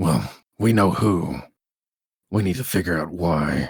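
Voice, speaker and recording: A put-on character voice sounds raspy. It moves at a fairly slow pace. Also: man, very deep, low pitch for a man. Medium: actual play.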